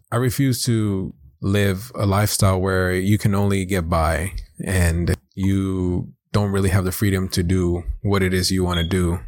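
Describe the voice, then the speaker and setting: A man with an American accent talks at a very deep, low pitch and a fairly slow pace. His intonation is fairly even and his loudness very even. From South Los Angeles. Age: 20s. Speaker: podcast co-host, corrections officer. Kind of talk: casual chat.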